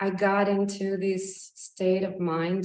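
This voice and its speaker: The voice belongs to a woman. Room echo can be heard around it. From Russia and Ukraine. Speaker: yoga teacher. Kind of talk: personal talk. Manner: halting.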